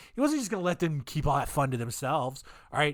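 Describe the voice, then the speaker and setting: A man's voice on a very clean recording, the background silent. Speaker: podcast host. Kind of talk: casual storytelling podcast. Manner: loud at times; rambling, unsteady.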